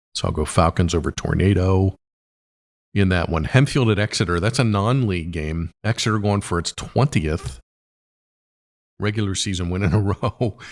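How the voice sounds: A man speaks at a moderate pace in a raspy, low voice with ordinary pitch variation. The recording is very clean, with a silent background.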